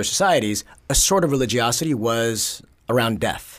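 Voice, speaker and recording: Here is a man with an ordinary speaking voice at a medium pitch. His intonation is lively. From New York, Bronx. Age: 30s. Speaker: sociologist. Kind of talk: casual interview.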